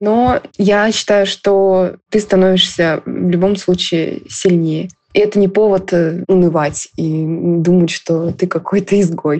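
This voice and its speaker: A normal speaking voice from a woman, medium in pitch, with very even loudness and fairly even intonation. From Russia. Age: 20s. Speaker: university student. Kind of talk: recorded personal story.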